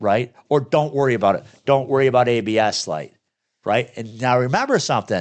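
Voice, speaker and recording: Over a quiet background, a man speaks at a very fast pace. His medium-pitched voice has an animated tone. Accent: Michigan. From Michigan. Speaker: repair shop owner and podcast host. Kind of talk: casual podcast conversation. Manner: animated, blunt.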